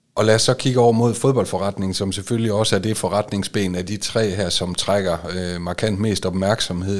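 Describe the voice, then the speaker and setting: At a moderate pace, a man talks in an unremarkable speaking voice, fairly low in pitch, with fairly even intonation. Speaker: football club podcast host. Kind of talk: interview. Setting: studio.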